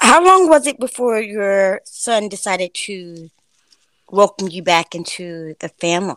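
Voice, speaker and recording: In a normal speaking voice with an American accent, a woman talks at medium pitch and a fairly slow pace with lively intonation and big swings in loudness, the sound dry and close with no echo. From Florida. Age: 40s. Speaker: podcast host. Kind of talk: interview.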